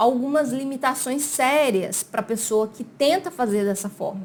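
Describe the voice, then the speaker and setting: Fairly slow female speech, fairly high in pitch, with ordinary pitch variation. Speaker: immigration consultant. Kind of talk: explainer video. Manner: casual, conversational.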